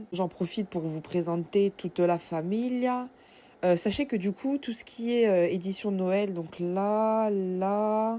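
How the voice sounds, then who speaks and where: A woman speaks at a very slow pace with a medium pitch and a dark, mellow tone. Her pitch varies in an ordinary way, and the recording is very clean with a silent background. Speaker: vlogger. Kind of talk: casual vlog talk to camera. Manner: animated.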